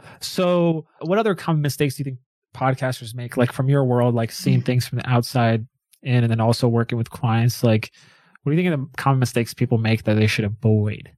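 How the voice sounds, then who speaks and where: On a very clean recording with a silent background, a man talks at a very fast pace in a medium pitch with ordinary pitch variation. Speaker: podcast host. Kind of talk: casual interview. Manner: upbeat, conversational.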